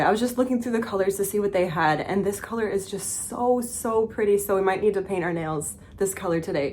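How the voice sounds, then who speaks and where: A woman talks at a moderate pace in an unremarkable speaking voice, medium in pitch with ordinary pitch variation. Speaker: vlogger and former fashion photographer. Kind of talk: casual vlog chat.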